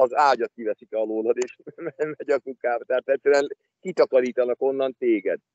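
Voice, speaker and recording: A man at a moderate pace, in a dry sound with no echo and a quiet background. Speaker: remote guest. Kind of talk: interview answer. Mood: calm, explanatory. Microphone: video call.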